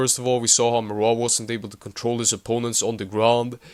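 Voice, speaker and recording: A man talks at a fairly quick pace. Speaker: MMA commentator. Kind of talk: fight prediction commentary to camera.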